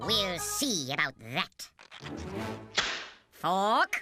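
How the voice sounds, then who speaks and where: Over music in the background, a woman performs a cartoonish character voice at a medium pitch. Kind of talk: comic falsetto overacting. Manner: imperious.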